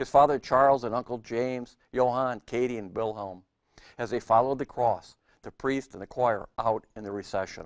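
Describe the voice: The speaker reads aloud plainly. Little sound fills the background.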